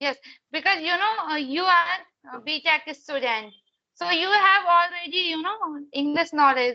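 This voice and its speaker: This woman has an extremely high pitch and a bright, sharp tone, with a raised, projected voice. She keeps a moderate pace and ordinary pitch variation. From India, Madhya Pradesh. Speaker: English learner, conversation partner. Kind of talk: English practice conversation.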